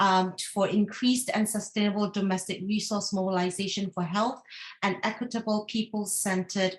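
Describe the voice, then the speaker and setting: A woman's somewhat breathy voice at a medium pitch. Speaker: regional coordinator of a health advocacy network. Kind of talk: webinar presentation.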